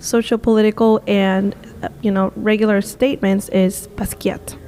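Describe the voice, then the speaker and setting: Over music in the background, a woman talks in a monotone, flat intonation at very even loudness. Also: medium pitch for a woman, moderate pace. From Peru. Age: 20s. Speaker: visual artist and tour guide. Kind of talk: podcast interview answer.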